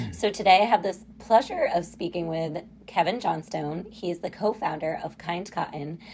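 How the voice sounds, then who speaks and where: At a moderate pace, a woman talks with a fairly low pitch and hardly any pauses. Her pitch variation is ordinary. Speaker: podcast host and business co-founder. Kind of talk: podcast interview. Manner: loud.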